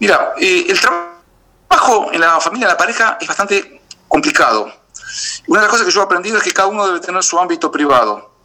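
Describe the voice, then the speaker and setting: Raising and projecting his voice, a man talks at a very fast pace with a high pitch and lively intonation. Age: 50s. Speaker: beekeeper. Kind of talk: interview. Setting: video call. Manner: halting, with repetitions and fillers.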